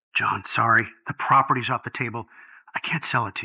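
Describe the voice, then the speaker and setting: Putting on a character voice, a man rattles off his lines at a very fast pace in a medium pitch. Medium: short film. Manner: hurried, anxious.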